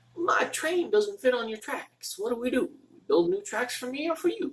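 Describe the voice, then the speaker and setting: A man puts on a character voice with a Southern accent. His pitch is extremely high. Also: moderate pace. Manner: mock, jokey.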